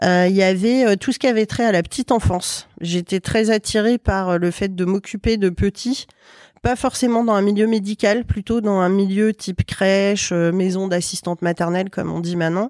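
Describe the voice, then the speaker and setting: A woman's normal speaking voice at medium pitch, with fairly even intonation and a moderate pace, dry and close with no echo, in a very clean recording over a silent background. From western France (Loire-Atlantique). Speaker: chartered accountant and business owner. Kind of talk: casual interview.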